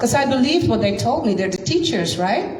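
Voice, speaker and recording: A woman with a Dutch accent speaks in a room with audible echo and noticeable background noise. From Netherlands. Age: 50s. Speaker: science teacher and speaker. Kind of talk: personal testimony at community talk. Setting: community gathering with live audience.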